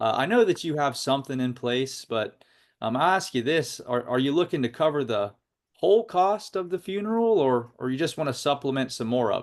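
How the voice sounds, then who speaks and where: Here a man talks at a fairly high pitch and a fairly quick pace. The background is quiet. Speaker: insurance sales agent. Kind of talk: sales role-play demonstration. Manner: compassionate tone. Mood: calm, persuasive. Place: home room. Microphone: video call.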